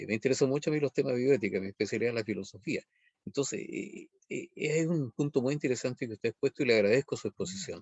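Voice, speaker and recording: A man at medium pitch talking at a very fast pace with ordinary pitch variation. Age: 70s. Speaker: audience member, philosophy scholar. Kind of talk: audience question. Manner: formal.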